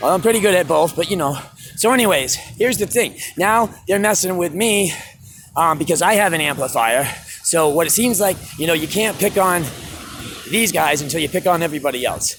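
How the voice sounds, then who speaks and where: Over noticeable background noise, a man talks loudly at a fairly quick pace in a high-pitched voice with lively intonation and an animated tone. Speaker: street musician. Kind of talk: vlog rant. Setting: outdoors.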